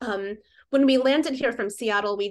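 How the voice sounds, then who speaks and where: A woman's intonation stays fairly even. The background is quiet. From US Midwest (Fort Wayne, northeast Indiana). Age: 40s. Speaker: writer. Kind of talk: casual interview.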